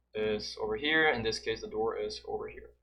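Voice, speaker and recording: A Brazilian accent at a fairly slow pace, with music in the background. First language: Portuguese. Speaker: video game tutorial creator. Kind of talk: gameplay tutorial commentary. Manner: casual, halting with fillers and repeats.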